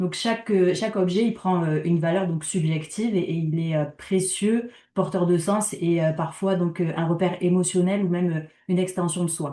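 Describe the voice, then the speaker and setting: Fairly low pitch from a woman, a dark, mellow tone, fairly even intonation and a moderate pace. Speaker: community organization project worker. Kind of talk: conference talk.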